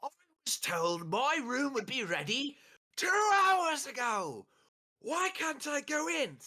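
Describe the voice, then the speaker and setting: Using a put-on character voice in a British accent, the speaker talks at a fairly slow pace in a high pitch with very wide pitch swings. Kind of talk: posh, received pronunciation. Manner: shouting, indignant.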